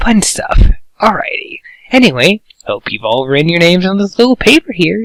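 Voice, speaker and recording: A man's put-on character voice, high-pitched and smug, with very wide pitch swings, a fairly quick pace, and a dry, close sound with no echo. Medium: read story. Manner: casual, smug.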